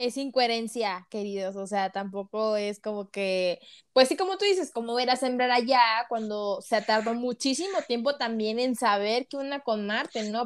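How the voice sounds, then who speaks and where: A woman with an unremarkable speaking voice talks in a fairly high pitch at a moderate pace. Her pitch variation is ordinary, and the recording is very clean with a silent background. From Mexico, Tampico, Tamaulipas. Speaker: podcast host. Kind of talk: casual interview.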